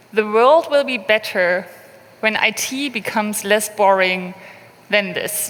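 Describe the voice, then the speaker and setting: Spoken at a fairly slow pace with ordinary pitch variation, this voice comes through over noticeable background noise. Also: woman, fairly high pitch for a woman. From Berlin, Germany. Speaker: open source program manager. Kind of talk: conference talk.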